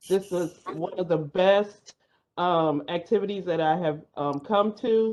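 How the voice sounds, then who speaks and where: At a fairly slow pace, an unremarkable speaking voice with an American accent moves with ordinary pitch variation. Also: woman. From California. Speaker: university staff member. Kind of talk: audience comment.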